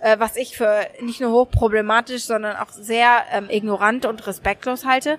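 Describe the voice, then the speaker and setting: A woman speaks at a moderate pace with a fairly high pitch. The sound is dry and close, with no echo. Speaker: journalist and correspondent. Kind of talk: interview. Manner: hesitant, many fillers.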